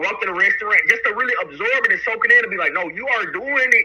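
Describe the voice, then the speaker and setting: A man with a Southern US accent talks at a very fast pace. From US South, Chattanooga, Tennessee. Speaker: rapper. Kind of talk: interview. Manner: halting, with many fillers and repeats.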